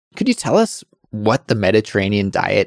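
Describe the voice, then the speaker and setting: Recorded with a dry, close sound and no echo, a man speaks in a normal speaking voice at a fairly low pitch and a moderate pace. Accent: Canadian. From Canada. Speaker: podcast host, English teacher. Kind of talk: casual chat.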